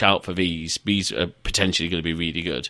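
The recording is very clean, with a silent background. A man with a northern English accent talks at a fairly quick pace in a bright, sharp tone. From northern England. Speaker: podcast host. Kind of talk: casual interview chat.

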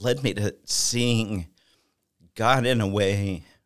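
Fairly low male speech with ordinary pitch variation. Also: very clean recording, silent background. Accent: Texan. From Texas. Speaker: church member, accountant. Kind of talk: testimony. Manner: halting.

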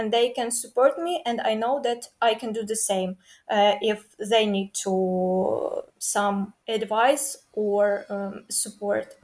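The voice carries a Ukrainian accent. It moves at a very slow pace. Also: woman, fairly high pitch for a woman, ordinary pitch variation, hardly any pauses. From Ukraine. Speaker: university student and dancer. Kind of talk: casual interview. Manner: halting, many fillers.

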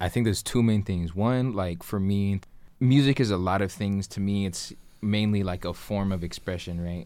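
Recorded very cleanly against a silent background, a man with an American accent speaks at a moderate pace in a fairly low pitch, with ordinary pitch variation and a dark, mellow tone. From Tucson, Arizona, US Southwest. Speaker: rapper. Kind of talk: casual chat. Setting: studio.

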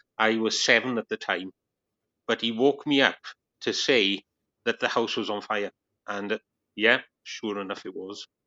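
A man at medium pitch with a Welsh accent, moderate pace, fairly even intonation and long, frequent pauses. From Wales. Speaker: Baptist minister, former atheist. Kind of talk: testimony. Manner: laid back.

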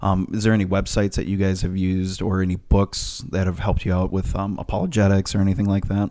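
A man's very deep, low voice, very fast and flat in a monotone, with hardly any pauses. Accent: Minnesotan. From Minnesota. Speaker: podcast producer. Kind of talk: casual discussion, asking questions.

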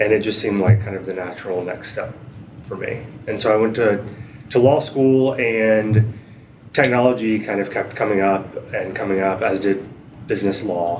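With an American accent, a man speaks at a fairly low pitch and moderate pace with fairly even intonation. Room echo is audible and background noise is noticeable. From US South, western North Carolina (Asheville). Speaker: data privacy attorney. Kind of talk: interview.

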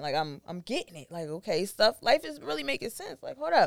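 Heard dry and close with no echo, a plain, everyday voice moves at a moderate pace. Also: woman, very clean recording, silent background. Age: 20s. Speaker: high school math teacher. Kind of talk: casual chat.

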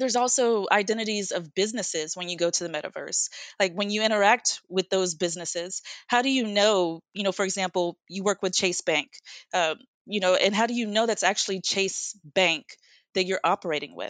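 Against a quiet background, a woman with an American accent has an unremarkable speaking voice at medium pitch with ordinary pitch variation, moving at a fairly quick pace in a dry, close sound with no echo. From United States. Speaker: product manager in tech. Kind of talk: casual interview.

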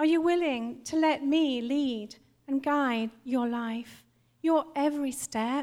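Speaking at a very slow pace, a woman with a high voice keeps her intonation fairly even. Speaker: church member giving prophetic word. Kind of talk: prophetic exhortation. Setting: church.

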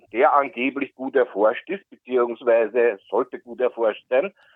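Here a man speaks at a fairly slow pace. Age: 50s. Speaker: caller. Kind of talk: call-in question.

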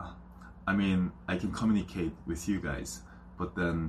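With a Korean accent, a man with a very deep, low voice uses lively intonation and vocal fry at a moderate pace. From South Korea. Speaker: YouTube reaction video creator. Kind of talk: casual vlog talk to camera. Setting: in his room.

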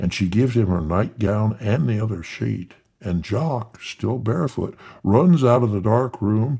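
This is a natural reading voice. It is simply a natural reading voice throughout.

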